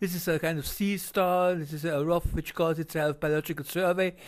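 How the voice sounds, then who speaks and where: The recording is very clean, with a silent background. A man with a German accent speaks at a moderate pace in a high voice, his intonation monotone and flat. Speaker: video commentator. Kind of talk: video narration. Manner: halting.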